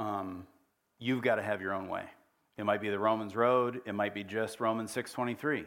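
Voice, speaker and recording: Over a very clean recording with a silent background, a man talks at a moderate pace in an ordinary speaking voice, fairly low in pitch, with fairly even intonation. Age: 40s. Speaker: guest preacher. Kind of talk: sermon. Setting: church.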